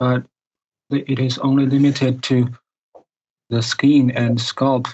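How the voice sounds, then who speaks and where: A man with a non-native accent and a medium pitch speaks very slowly, his loudness very even and his intonation monotone and flat. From Asia. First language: not English. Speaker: caller. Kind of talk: casual chat. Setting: video call. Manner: halting, many fillers.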